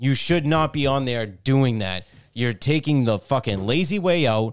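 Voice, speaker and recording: Recorded very cleanly against a silent background, a man with a plain, everyday voice talks at medium pitch with ordinary pitch variation. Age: 40s. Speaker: podcast co-host. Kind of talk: angry rant. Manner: sarcastic, jeering, chiming in.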